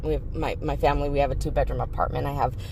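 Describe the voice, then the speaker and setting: A woman's voice with audible room echo. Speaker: dumpster diving vlogger. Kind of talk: casual vlog talk. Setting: in a car. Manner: hesitant, many fillers; quiet.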